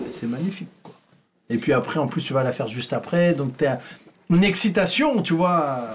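Here is a man with a plain, everyday voice and fairly high pitch. His intonation is lively and his pace moderate. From France, Vichy. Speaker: comedian. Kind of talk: casual chat.

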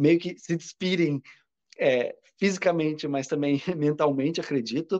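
A man's ordinary speaking voice, fairly high in pitch with ordinary pitch variation, in dry, close sound with no echo. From Brazil, Curitiba. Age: 30s. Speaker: social media creator. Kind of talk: casual chat.

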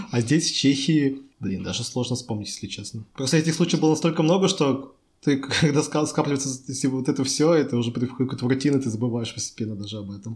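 A man speaks at a medium pitch with ordinary pitch variation. His delivery is very fast and somewhat breathy. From Russia, Chelyabinsk. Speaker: architect. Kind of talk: casual chat.

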